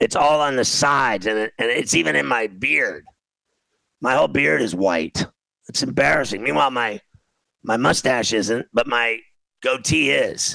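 A man with an American accent speaks at a medium pitch and a moderate pace, with long, frequent pauses. His intonation is lively, and vocal fry comes through. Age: 50s. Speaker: sports betting radio host. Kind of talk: casual sports talk. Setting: studio. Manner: animated; loud.

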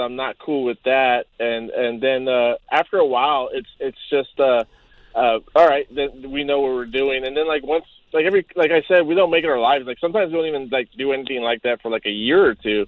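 A man talks at a fairly quick pace in a plain, everyday voice, fairly high in pitch with ordinary variation. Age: 40s. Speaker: caller. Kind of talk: casual chat. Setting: phone call.

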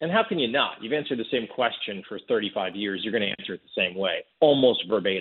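Speaking at a very fast pace with hardly any pauses, a man with an American accent uses lively intonation at a medium pitch. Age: 40s. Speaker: documentary director. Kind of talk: interview.

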